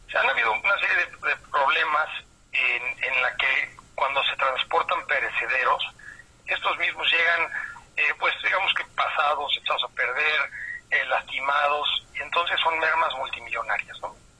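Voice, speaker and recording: The speaking pace is fairly slow. Noticeable background noise runs throughout. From Mexico City. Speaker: tech company director. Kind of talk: interview. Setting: phone call.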